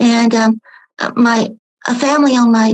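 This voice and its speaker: A woman with an American accent speaks very slowly in a fairly high, flat monotone. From Appalachian North Carolina. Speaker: podcast guest. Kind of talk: casual chat.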